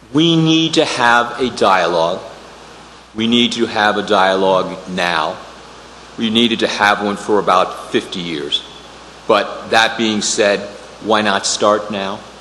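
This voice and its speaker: With an American accent, a man speaks at a fairly slow, fairly low pitch with ordinary pitch variation and long, frequent pauses, amid noticeable background noise and audible room echo. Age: 60s. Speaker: attorney and committee applicant. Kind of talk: public meeting statement. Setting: town council meeting room. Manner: halting, many fillers.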